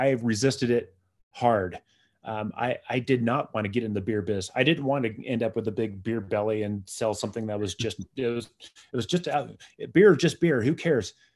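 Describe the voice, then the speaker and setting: A man with an American accent, a plain, everyday voice, medium pitch, ordinary pitch variation and a moderate pace, in a very clean recording with a silent background. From San Diego, California. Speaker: beer writer and educator. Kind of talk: casual interview.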